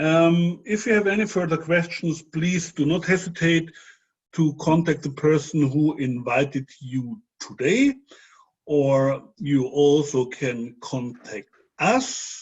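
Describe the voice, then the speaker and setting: Talking at a very slow pace, a man with a non-native accent uses a fairly high pitch and lively intonation. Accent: non-native English, audible dialect. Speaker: webinar host, sales presenter. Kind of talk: sales pitch webinar. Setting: online webinar.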